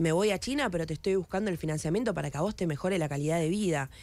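At a very fast pace, a woman speaks with a fairly low pitch and ordinary pitch variation, in a dry sound with no echo. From Argentina. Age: 20s. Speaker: politician. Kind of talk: radio interview. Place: studio. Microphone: studio mic.

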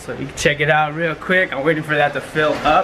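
Light noise hums behind a man as he speaks. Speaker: vlogger. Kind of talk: casual vlog chat. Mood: playful, excited.

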